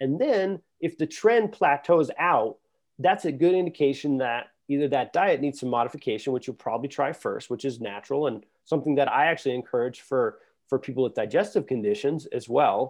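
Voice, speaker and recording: A man with a fairly high pitch speaks at a fairly quick pace, his intonation lively. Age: 30s. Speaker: health engineer and gut health company founder. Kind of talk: casual chat.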